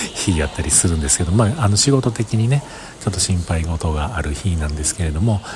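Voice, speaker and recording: Over noticeable background noise, a man rattles along at a very fast pace in a very deep, low pitch with lively intonation. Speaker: podcaster. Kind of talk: casual monologue. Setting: outdoors at a station.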